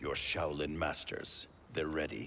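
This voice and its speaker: A put-on character voice from a man, very deep and low, fairly slow, with clear background noise. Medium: video game. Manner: guarded, stern.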